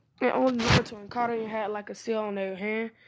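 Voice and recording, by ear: With fairly even intonation, a speaker reads aloud in a natural voice.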